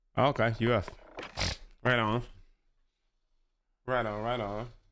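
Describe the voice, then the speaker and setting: A man's medium-pitched, flat monotone at a fairly slow pace, with audible room echo. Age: 40s. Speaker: gaming streamer. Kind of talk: live gameplay commentary. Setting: live stream from home. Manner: casual, conversational.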